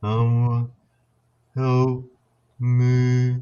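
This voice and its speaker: A man speaks in a put-on character voice at a medium pitch. His delivery is monotone and flat. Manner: slow.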